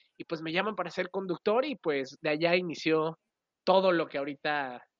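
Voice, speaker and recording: The accent is Mexican. Speech moves at a moderate speed. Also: woman. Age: 20s. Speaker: radio and TV presenter. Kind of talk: casual interview.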